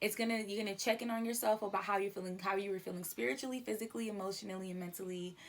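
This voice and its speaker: A woman's medium-pitched voice at a very fast pace, with hardly any pauses and ordinary pitch variation. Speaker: podcast host. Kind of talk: casual monologue. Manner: animated.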